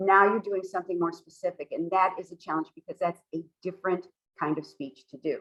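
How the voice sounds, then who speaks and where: In a dry, close sound with no echo, a woman uses a normal speaking voice at a medium pitch, speaking at a fairly quick pace with fairly even intonation. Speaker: toastmasters presenter. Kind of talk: workshop presentation.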